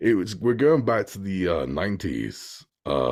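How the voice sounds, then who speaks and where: A man with a British accent uses very wide pitch swings and vocal fry. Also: very clean recording, silent background. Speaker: movie reviewer and voice actor. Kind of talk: casual chat. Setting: podcast recording.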